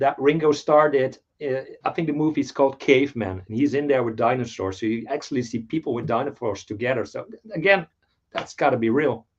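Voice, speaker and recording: A man speaks with a Dutch accent, his loudness swinging widely. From Netherlands. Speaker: toy collector. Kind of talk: casual chat.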